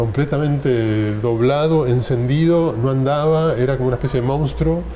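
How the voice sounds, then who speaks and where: A man is speaking in a room with audible echo. Noticeable background noise runs behind him. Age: 60s. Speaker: film director and writer. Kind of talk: interview conversation. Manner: hesitant, with fillers.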